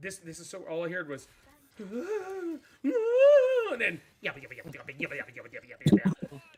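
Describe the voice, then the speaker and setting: A man puts on a high-pitched character voice and talks very fast, leaving long, frequent pauses. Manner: gibberish, babbling.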